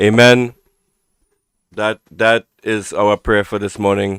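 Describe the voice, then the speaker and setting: In a dry, close sound with no echo, a man speaks very slowly at a fairly low pitch. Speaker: political commentary live streamer. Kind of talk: live stream news commentary to camera. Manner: emotional, upset.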